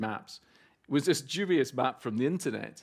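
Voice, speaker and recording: Very fast and lively in intonation, a man speaks with a Scottish accent. The recording is very clean, with a silent background. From Scotland. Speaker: photographer. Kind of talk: public talk. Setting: gallery event with audience.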